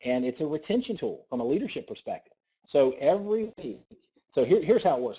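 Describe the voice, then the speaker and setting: A man talks in a Southern US accent with a dark, mellow tone. His pitch swings very widely. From US South. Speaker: network marketing business coach. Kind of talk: sales pitch. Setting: conference call. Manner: fast; animated.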